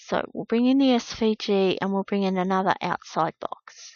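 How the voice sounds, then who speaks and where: Using a normal speaking voice, a woman with a fairly high pitch talks at a fairly slow pace with ordinary pitch variation. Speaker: craft tutorial maker. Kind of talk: tutorial.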